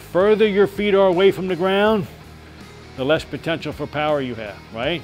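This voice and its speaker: A man speaks with a high pitch. Faint music plays in the background. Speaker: boxing coach. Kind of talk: hands-on coaching instruction. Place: gym.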